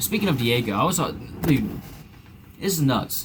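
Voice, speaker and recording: With an American accent, a man speaks at a medium pitch and moderate pace. His pitch swings very widely. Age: 20s. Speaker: political commentator. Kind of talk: casual commentary monologue. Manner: casual, filler-heavy.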